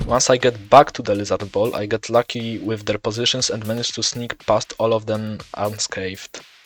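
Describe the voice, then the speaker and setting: Over music in the background, a man with a medium pitch speaks at a moderate pace with hardly any pauses, his intonation monotone and flat, in a dry, close sound with no echo. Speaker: gaming video creator. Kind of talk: gaming commentary narration.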